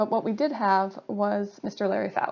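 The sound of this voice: A woman with an American accent talks at medium pitch and a moderate pace, her slightly mellow tone showing vocal fry and little pitch movement.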